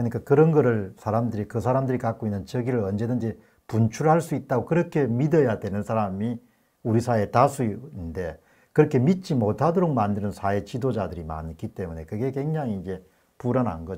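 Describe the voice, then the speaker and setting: A man's dark, mellow voice at a fairly quick pace, lively in intonation, against a quiet background. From South Korea. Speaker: political commentary YouTuber; talk show host. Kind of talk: interview. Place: studio.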